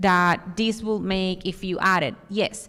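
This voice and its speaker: A woman speaks at a medium pitch with a strong Dominican accent, captured in a very clean recording with a silent background. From Dominican Republic. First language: Spanish. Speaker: architect, conference speaker. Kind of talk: conference talk with audience Q&A.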